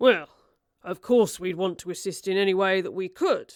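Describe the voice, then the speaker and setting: A woman puts on a raspy character voice at a medium pitch. She keeps a moderate pace with ordinary pitch variation. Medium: read story. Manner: curt, barking.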